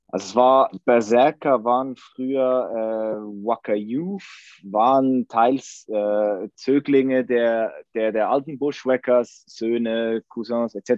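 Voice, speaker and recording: In a Swiss accent, a man speaks at a very slow pace. His medium-pitched voice keeps a fairly even intonation. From Switzerland. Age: 30s. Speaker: football fan. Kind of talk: casual chat.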